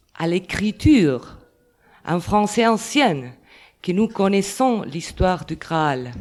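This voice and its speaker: This woman speaks at a very slow pace. Her intonation is lively. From Catalonia, Spain. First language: Catalan or Spanish (speaking French). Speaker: literature scholar. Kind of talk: round table talk. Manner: halting.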